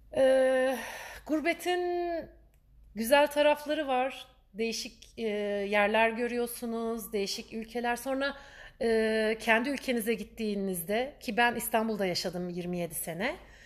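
Speaking at a fairly slow pace, a woman uses lively intonation at a fairly high pitch. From Turkey, Istanbul. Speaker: podcaster. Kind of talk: personal storytelling monologue. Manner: chatty.

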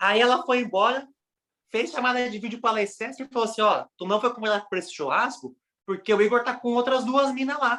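Using a raised, projected voice with a bright, sharp tone, a man with a Brazilian accent and an extremely high pitch talks at a fairly quick pace with big swings in loudness. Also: ordinary pitch variation. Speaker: podcast co-host. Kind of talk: casual chat.

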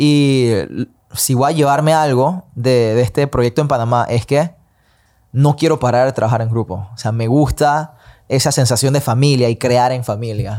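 Over a very clean recording with a silent background, a man speaks in a dark, mellow tone with fairly even intonation. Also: medium pitch for a man, moderate pace. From Panama. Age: 20s. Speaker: singer and independent artist. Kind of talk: casual chat.

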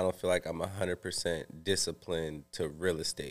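A very deep, low-voiced man talks at a moderate pace, captured in a very clean recording against a silent background. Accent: American. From US West Coast, San Francisco Bay Area. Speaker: entrepreneur in real estate and credit. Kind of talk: casual chat.

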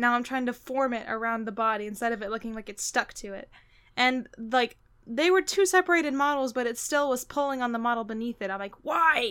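A woman's high voice, animated and fairly quick, with ordinary pitch variation. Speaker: podcast co-host; voice actor. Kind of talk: casual chat.

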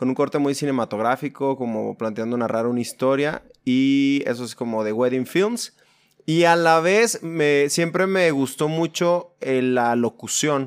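Using a plain, everyday voice, a man speaks at a fairly slow pace and a fairly high pitch with ordinary pitch variation. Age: 30s. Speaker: church musician and video producer. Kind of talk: casual interview.

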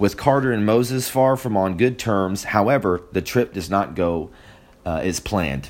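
With a plain, everyday voice, a man talks at a moderate pace in a fairly low pitch, his intonation lively. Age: 20s. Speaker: film review podcast host. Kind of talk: solo movie review. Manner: casual with frequent fillers.

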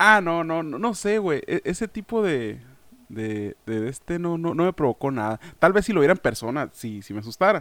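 In a very clean recording with a silent background, a man with a fairly high pitch talks at a moderate pace through very wide pitch swings. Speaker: podcast co-host. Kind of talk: casual chat.

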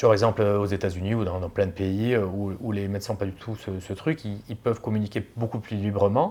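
A man with a fairly low pitch speaks at a moderate pace. His loudness swings widely. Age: 40s. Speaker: plastic surgeon. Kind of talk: casual chat. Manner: halting.

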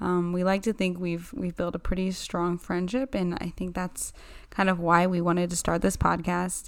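Here is an ordinary speaking voice. The intonation stays fairly even. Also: woman. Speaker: podcast co-host. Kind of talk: casual chat.

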